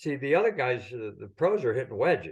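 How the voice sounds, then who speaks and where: A man's somewhat breathy, medium-pitched voice at a fairly quick pace, with very wide pitch swings, over a quiet background. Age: 70s. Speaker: golf professional and caddie. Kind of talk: casual chat.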